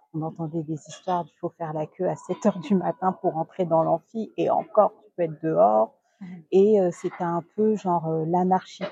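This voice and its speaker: A woman with a normal speaking voice and fairly low pitch talks at a moderate pace, her pitch varying in an ordinary way while her loudness swings widely, all in a dry, close sound with no echo. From Guadeloupe. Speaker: entrepreneur. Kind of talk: interview.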